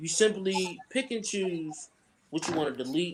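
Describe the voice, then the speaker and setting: At a fairly slow pace, a man speaks with a Southern US accent. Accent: southern drawl. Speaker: podcast co-host. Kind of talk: casual chat.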